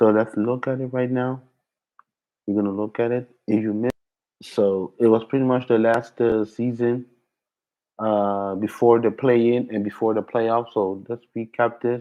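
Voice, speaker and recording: The man's pitch sits in the middle range. His delivery never leaves a flat monotone. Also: moderate pace. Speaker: sports podcast host. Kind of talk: casual sports recap. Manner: halting, many fillers.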